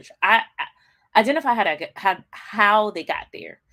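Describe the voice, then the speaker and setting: A woman's bright, sharp voice moves through very wide pitch swings. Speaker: business coach. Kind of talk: livestream motivational talk. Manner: fast; casual, with many fillers.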